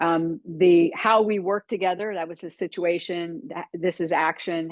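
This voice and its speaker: A woman speaks at a moderate pace with a fairly low pitch. She has a slight Texan accent. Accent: slight Texan twang. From Florida. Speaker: business coach. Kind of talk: webinar training talk.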